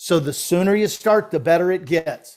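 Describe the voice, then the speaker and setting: Speech moves at a moderate pace with fairly even intonation. The recording is very clean, with a silent background. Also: man. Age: 60s. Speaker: financial podcast co-host. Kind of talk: casual discussion of financial illustrations.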